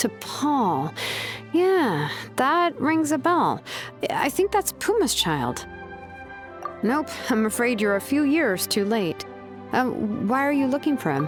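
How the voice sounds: Over faint music in the background, a woman uses a put-on character voice, high-pitched and slow, with big pitch swings.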